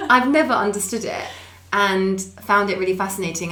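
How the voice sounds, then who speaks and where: A woman with a southern English accent talks at a moderate pace, using medium pitch and ordinary pitch variation. There is audible room echo and noticeable background noise. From Essex, England. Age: 30s. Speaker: charity founder, former nurse. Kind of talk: podcast interview.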